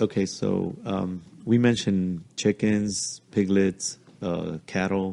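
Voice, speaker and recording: With a Spanish accent, a man speaks very slowly in a fairly low pitch with a dark, mellow tone. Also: fairly even intonation, quiet background. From Mexico, Jalisco. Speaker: podcast guest, host's father. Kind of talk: casual chat, family storytelling. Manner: halting.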